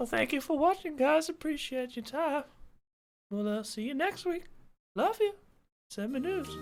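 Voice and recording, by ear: A put-on character voice speaks with long, frequent pauses. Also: moderate pace.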